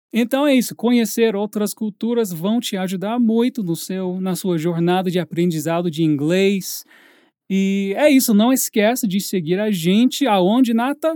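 On a very clean recording with a silent background and a dry, close sound with no echo, a man with an English accent speaks fairly slowly in a high pitch with ordinary pitch variation and a dark, mellow tone. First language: English (speaking Portuguese). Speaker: English teacher, podcast host. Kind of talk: casual chat.

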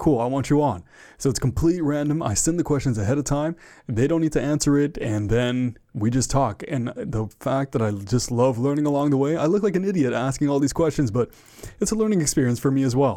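Over a very clean, silent background, a man with a fairly high pitch and a dark, mellow tone talks fairly quickly with lively intonation and very even loudness. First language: French and English. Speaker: podcast host guest. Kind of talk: casual interview chat. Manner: occasional stutter and filler words.

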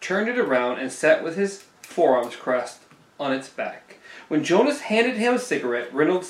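Text is read aloud here in a natural voice.

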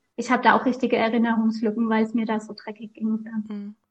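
A woman speaks at a fairly high pitch. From Lower Franconia, Bavaria (near Aschaffenburg). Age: 30s. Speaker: author and lupus patient. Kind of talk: interview.

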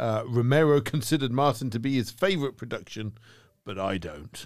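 Speaking at a moderate pace, a man uses a plain, everyday voice with lively intonation. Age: 40s. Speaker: horror podcast host. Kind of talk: casual chat.

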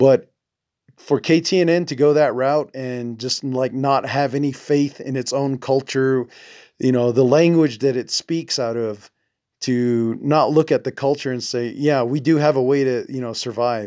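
In a very clean recording with a silent background, a man with a Navajo accent speaks at medium pitch in a dark, mellow tone. His pace is fairly slow and his intonation fairly even. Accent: Navajo-inflected American English. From Navajo Nation, US Southwest. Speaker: podcast host. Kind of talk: solo podcast monologue. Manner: halting, many fillers; sounds intellectual.

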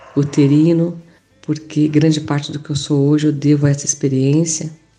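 A woman speaks with a very deep, low pitch. Her intonation is monotone and flat, at a moderate pace. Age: 50s. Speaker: yoga teacher and aromatherapist. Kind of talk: health talk.

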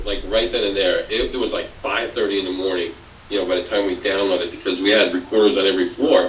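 Noticeable background noise sits behind the recording. The man speaking moves at a fairly quick pace. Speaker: paranormal investigator. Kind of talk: casual storytelling chat.

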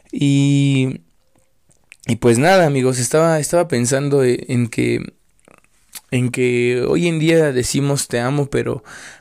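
A man speaks very slowly at a medium pitch, his intonation fairly even. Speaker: podcaster. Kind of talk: casual monologue. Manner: rambling, hesitant with repetitions.

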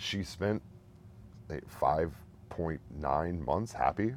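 This man's very deep, low voice carries vocal fry and lively intonation at a fairly slow pace. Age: 30s. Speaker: bereaved father. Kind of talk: testimony.

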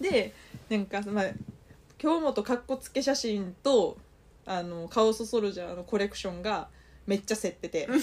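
A woman's fairly high voice with a Kansai accent, ordinary pitch variation, big swings in loudness, and long, frequent pauses. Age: 30s. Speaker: podcast co-host. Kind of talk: casual chat. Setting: at home, sleepover recording. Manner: fast; animated.

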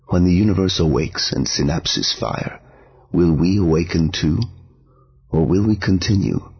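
A man speaks at a moderate pace with long, frequent pauses, his pitch very deep and low, with ordinary variation. His loudness stays very even, and background noise is noticeable. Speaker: podcast host and poetry reader. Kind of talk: poetry reading, read aloud. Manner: measured, expressive poetic delivery; warm, welcoming.

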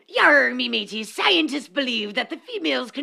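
A female-sounding, put-on character voice, high in pitch for a woman, at a moderate pace. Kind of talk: comic pirate speech.

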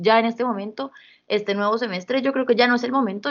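A woman talks fairly quickly, varying her pitch in an ordinary way. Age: 20s. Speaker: law student. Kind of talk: casual chat.

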